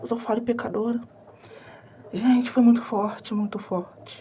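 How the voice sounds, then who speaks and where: A soft-spoken woman's fairly high, monotone, flat voice at a moderate pace, with noticeable background noise. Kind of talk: testimony.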